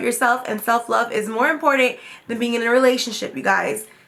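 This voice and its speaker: A woman with a high-pitched voice talks very fast. There is noticeable background noise. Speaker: beauty vlogger. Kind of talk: tutorial. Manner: casual, chatty.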